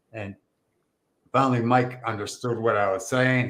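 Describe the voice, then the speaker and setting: Speaking at a fairly slow pace, a man uses a medium pitch and an animated tone. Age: 60s. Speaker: Bigfoot researcher and podcast host. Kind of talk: casual storytelling in podcast interview.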